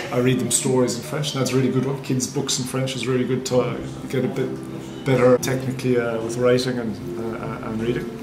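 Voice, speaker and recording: A man talks at a very fast pace with monotone, flat intonation. Audible room echo and noticeable background noise fill the recording. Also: medium pitch for a man. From Ireland, North Cork. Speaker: bar and restaurant owner. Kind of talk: interview. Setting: in a pub. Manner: hesitant, many fillers.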